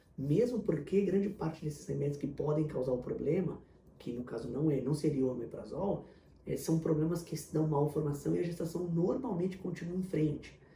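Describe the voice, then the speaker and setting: A man's fairly high-pitched voice with a dark, mellow tone and audible room echo. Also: ordinary pitch variation. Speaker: fertility doctor. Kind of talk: Q&A video answering viewer questions. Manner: fast.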